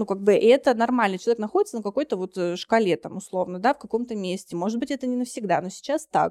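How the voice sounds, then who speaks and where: A woman talks at a very fast pace with hardly any pauses, her fairly high voice dark and mellow in tone, with ordinary pitch variation and a dry, close sound with no echo. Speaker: psychotherapist and lecturer. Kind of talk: casual interview discussion.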